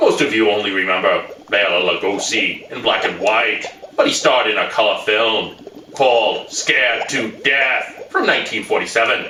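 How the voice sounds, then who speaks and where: A man uses a put-on character voice at medium pitch and a moderate pace, with clear background noise and a slight echo. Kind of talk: campy horror host showmanship. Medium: comedy sketch. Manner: theatrical, gleeful.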